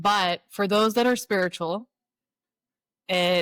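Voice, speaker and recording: A woman with a normal speaking voice talks at a fairly slow pace and fairly even intonation, in a dry, close sound with no echo. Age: 40s. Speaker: spiritual guide and Reiki master. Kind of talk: podcast interview.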